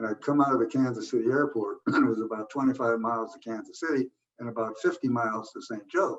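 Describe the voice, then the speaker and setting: A man with an American accent, medium pitch, fairly even intonation and a very fast pace. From US Midwest. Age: 80s+. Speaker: retired air force general. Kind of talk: oral history interview. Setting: home man cave.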